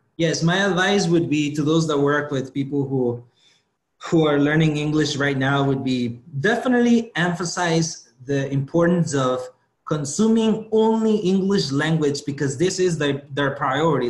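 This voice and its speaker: Speaking with a Guatemalan accent, a man uses lively intonation and a fairly high pitch. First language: Spanish. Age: 20s. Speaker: motivational speaker. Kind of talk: interview. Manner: halting, with repetitions.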